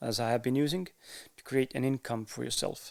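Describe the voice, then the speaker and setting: A man's medium-pitched voice holds a fairly even intonation. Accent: Estonian. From Estonia. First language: Estonian. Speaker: podcaster. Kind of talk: casual monologue to camera. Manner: halting, with fillers and pauses.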